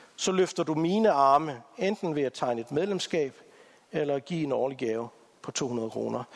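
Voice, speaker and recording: The pitch swings very widely in this man's voice. He talks at a fairly slow pace. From Africa. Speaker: church integration ministry leader, guest preacher. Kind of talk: sermon.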